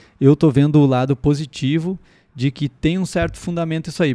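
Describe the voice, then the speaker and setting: Speaking at a fairly quick pace in a Gaúcho Brazilian accent, a man has a fairly high pitch and a dark, mellow tone, heard in a dry, close sound with no echo on a very clean recording with a silent background. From southern Brazil, Rio Grande do Sul (Sapiranga, near Porto Alegre). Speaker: comedian and podcast host. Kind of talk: casual solo podcast monologue. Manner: chatty and hesitant, with fillers.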